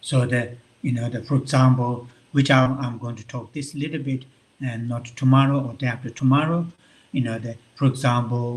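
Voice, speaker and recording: A man's somewhat breathy, monotone, flat delivery with big swings in loudness. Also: medium pitch for a man, moderate pace. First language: Tibetan. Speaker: Buddhist monk and visiting professor. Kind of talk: lecture. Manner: halting, many fillers.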